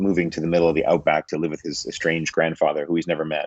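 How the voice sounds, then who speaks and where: A man with a Canadian accent at a very fast pace. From Canada. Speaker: film director and producer. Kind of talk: interview answer. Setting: video call.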